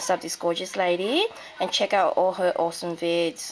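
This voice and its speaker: A woman speaks with an Australian accent at a moderate pace. Her pitch is medium. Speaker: crafting video creator. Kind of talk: casual show-and-tell. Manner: halting, many fillers.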